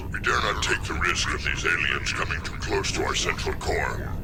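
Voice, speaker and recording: A man performs a cartoonish character voice at a moderate pace. Loud background noise fills the clip. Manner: imperious, commanding.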